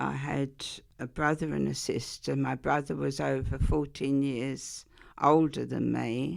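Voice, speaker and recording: On a very clean recording with a silent background, a woman talks at a fairly slow pace in an Essex accent. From Essex, England. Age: 80s+. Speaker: interviewee sharing childhood memories. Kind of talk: oral history interview.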